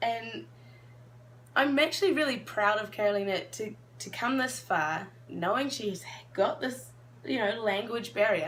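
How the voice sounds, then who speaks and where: A woman's fairly high voice in a New Zealand accent, fairly slow with long, frequent pauses, very wide pitch swings and audible room echo. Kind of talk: casual chat.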